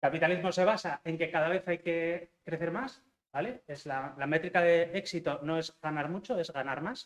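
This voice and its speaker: A man with a high pitch and ordinary pitch variation talks with hardly any pauses. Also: moderate pace. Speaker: software engineering manager. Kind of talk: talk to university students. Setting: lecture hall with audience. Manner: hesitant, many fillers.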